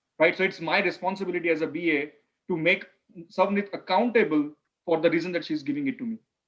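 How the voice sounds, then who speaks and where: A man speaks loudly in a high voice. His pitch varies in an ordinary way. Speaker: business analysis instructor. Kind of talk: online class.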